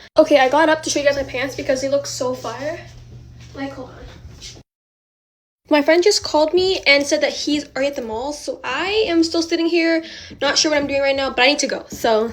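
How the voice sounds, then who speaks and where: A woman speaks at a fairly quick pace and a high pitch, with ordinary pitch variation. She leaves long, frequent pauses. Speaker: influencer. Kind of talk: get-ready-with-me vlog. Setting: at home filming herself. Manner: stutters; casual, filler-heavy.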